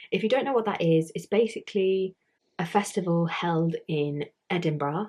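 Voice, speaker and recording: Speaking at a fairly slow pace with a British accent, a woman uses lively intonation in a fairly low pitch. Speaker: YouTuber. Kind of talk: casual vlog talk. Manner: casual, filler-heavy.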